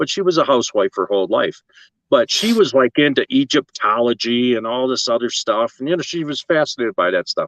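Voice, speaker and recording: A man speaks at a fairly quick pace. The sound is dry and close with no echo. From western New York (Lockport). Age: 60s. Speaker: tintype artist. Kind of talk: casual interview chat.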